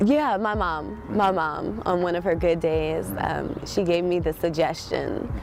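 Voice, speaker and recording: There is noticeable background noise behind a woman. She talks at a fairly slow pace with hardly any pauses. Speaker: poet and writer. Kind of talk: casual interview answer.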